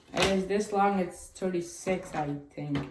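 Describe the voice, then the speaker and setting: A woman's pitch varies in an ordinary way while noticeable background noise plays behind her. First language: Chinese. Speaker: cube unboxing youtuber. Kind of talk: casual unboxing video. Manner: casual, thinking aloud.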